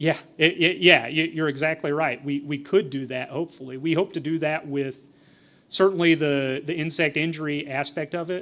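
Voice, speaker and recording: This man mumbles at a moderate pace with fairly even intonation. His pitch sits fairly high. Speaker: entomologist giving a presentation. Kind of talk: conference presentation with Q&A. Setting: forum stage with audience. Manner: mumbling; conversational, with fillers and repetitions.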